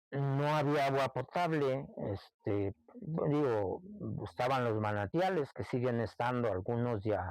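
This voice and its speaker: A man with a central Mexican accent and lively intonation at a very slow pace, in a dry, close recording with no echo, very clean, with a silent background. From Mexico, Santa Catarina del Monte, Texcoco. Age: 60s. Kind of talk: oral history interview. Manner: reminiscing, conversational.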